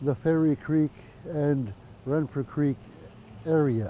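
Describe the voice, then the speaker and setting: A man's fairly high voice at a very slow pace, with ordinary pitch variation. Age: 80s+. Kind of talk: interview testimony. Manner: halting, many fillers.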